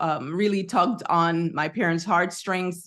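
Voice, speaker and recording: A slight Jamaican accent at a fairly slow pace, against a quiet background. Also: woman. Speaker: psychotherapist and researcher, entrepreneur. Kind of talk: interview.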